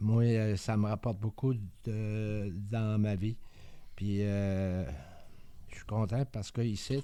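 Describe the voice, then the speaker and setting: On a very clean recording with a silent background, a man with a fairly low pitch speaks very slowly, with fairly even intonation and long, frequent pauses. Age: 70s. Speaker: community mental health centre member. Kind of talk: personal testimony. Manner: halting, stammering; shy, hesitant.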